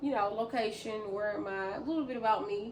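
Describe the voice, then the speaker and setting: Loud and with lively intonation, a woman's voice rings with audible room echo. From US South, Memphis, Tennessee. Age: 30s. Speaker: vlogger. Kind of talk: casual vlog talk to camera. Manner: fast talker; loud, laughs a lot.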